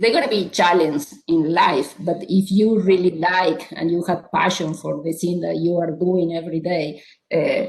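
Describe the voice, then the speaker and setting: Speaking in an Argentine accent, a woman has a fairly low pitch. Her pace is fairly slow and her intonation fairly even. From Argentina. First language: Spanish. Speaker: psychiatrist. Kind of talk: panel discussion.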